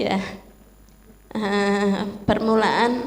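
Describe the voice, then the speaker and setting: In a room with audible echo, a woman speaks at a fairly high pitch with monotone, flat intonation. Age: 60s. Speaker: church member. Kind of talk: testimony.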